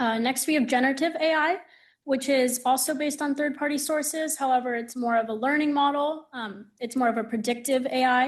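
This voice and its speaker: With an American accent, a woman talks at a fairly quick pace in a high voice with fairly even intonation against a quiet background. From California (San Francisco). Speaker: law student intern, panelist. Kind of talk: panel presentation. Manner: frequent 'um' fillers.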